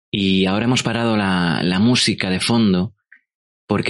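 A man speaks at a fairly slow pace. His voice is very deep and low, with fairly even intonation. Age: 30s. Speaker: podcast host. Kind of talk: personal storytelling. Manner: halting.

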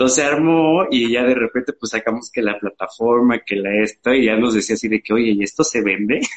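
With a Mexican accent, the speaker goes at a fairly quick pace with ordinary pitch variation and hardly any pauses. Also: man, medium pitch for a man. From Mexico, Veracruz (Xalapa). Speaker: fashion brand founder. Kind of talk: live interview. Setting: live stream.

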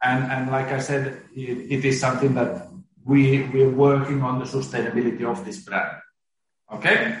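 With a Finnish accent and audible room echo, a man speaks at a moderate pace with medium pitch and ordinary pitch variation. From Finland. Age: 40s. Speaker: company CEO. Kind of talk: interview. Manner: halting.

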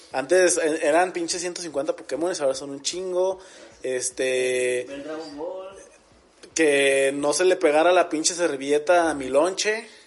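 A fairly high-pitched man speaks at a very slow pace with ordinary pitch variation and big swings in loudness. Noticeable background noise can be heard. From Mexico, Aguascalientes. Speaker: podcast host. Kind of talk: casual chat.

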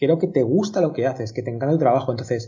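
A man speaks in a somewhat breathy voice. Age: 40s. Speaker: company founder. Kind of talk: interview.

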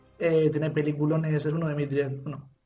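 Audible room echo surrounds a man with a Murcian accent who speaks at a moderate pace and a fairly high pitch. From Spain, Cartagena (Murcia). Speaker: podcast co-host. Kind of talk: casual chat.

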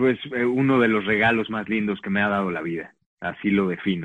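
In an unremarkable speaking voice, a man speaks at a moderate pace with fairly low pitch and fairly even intonation. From Mexico. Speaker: actor. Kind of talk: interview.

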